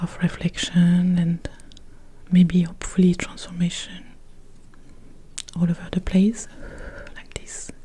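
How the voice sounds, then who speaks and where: Soft-spoken and soothing, this voice moves at a fairly slow pace with monotone, flat intonation, long, frequent pauses and big swings in loudness. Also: woman, fairly low pitch for a woman. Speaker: mindfulness teacher and guided meditation producer. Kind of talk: ASMR soft-spoken announcement to camera. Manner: soft-spoken, soothing.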